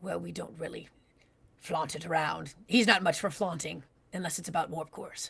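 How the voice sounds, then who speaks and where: Using a put-on character voice, a woman sounds raspy at a fairly low pitch, moving at a moderate pace with big swings in loudness. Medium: actual play. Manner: halting, earnest.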